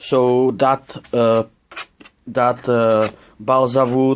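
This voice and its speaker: Speaking in a non-native accent, a man holds a medium pitch with monotone, flat intonation. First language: not English. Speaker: RC model builder. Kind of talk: tutorial. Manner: halting. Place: workshop. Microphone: phone near.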